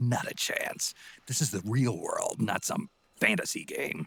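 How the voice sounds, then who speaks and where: Fairly slow delivery of a put-on character voice from a man. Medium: video game. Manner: terse, gruff.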